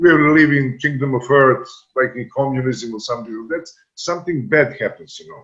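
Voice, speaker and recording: A man with a Serbian accent, ordinary pitch variation and big swings in loudness. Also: fairly high pitch for a man, moderate pace. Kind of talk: panel discussion. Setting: video call. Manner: halting.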